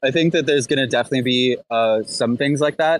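This man has an ordinary speaking voice at a medium pitch. His pitch varies in an ordinary way. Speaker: DAO software developer. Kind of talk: casual chat. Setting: online audio room.

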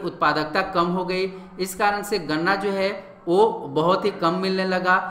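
A man with a high pitch uses a raised, projected voice, with audible room echo and noticeable background noise. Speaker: online exam-prep teacher. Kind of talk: lecture. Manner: halting.

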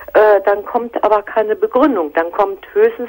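A woman speaks at a moderate pace while the background stays quiet. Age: 50s. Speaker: caller. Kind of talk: personal phone-in conversation.

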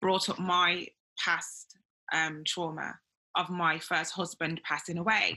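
Very slow, monotone speech with flat intonation in a Birmingham accent, bright and sharp in tone, with long, frequent pauses and a quiet background. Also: woman, fairly low pitch for a woman. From Birmingham, England. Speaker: interviewer, women's wellness podcaster. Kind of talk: interview. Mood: earnest, reflective. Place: home room. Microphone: video call.

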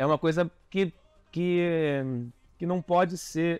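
A man's fairly high voice with ordinary pitch variation against a quiet background. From Rio de Janeiro. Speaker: carnival designer; interviewee. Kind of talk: interview. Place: home room. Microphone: lapel.

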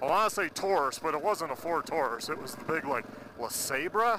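The pace is fairly quick. The sound is dry with no echo, but there is noticeable background noise. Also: man. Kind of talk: casual vlog chat. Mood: relaxed, amused. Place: motorbike. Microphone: helmet.

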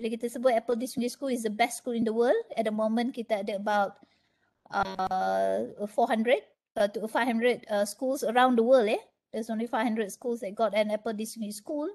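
Against a quiet background, a woman with a plain, everyday voice talks at a fairly slow pace, fairly high in pitch with fairly even intonation. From Malaysia. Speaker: educator, Apple learning specialist; webinar presenter. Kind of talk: webinar presentation. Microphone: video call.

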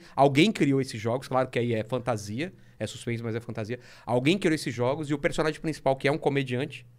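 With ordinary pitch variation, this man speaks very fast in a quiet background. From Brazil. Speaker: comic artist. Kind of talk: casual chat. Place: studio. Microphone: studio mic.

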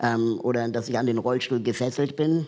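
A man speaking at a moderate pace. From Peru. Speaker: talk show guest. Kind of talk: casual talk show chat. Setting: studio with audience. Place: studio.

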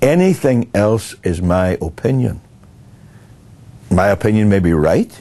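A man speaks at a slow pace. His voice is fairly low in pitch, with a dark, mellow tone.

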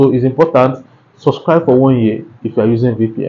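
Dark and mellow in tone, the voice moves at a fairly quick pace with ordinary pitch variation. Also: man. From Nigeria. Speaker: YouTube tutorial creator. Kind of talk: tutorial. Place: home room. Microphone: lapel.

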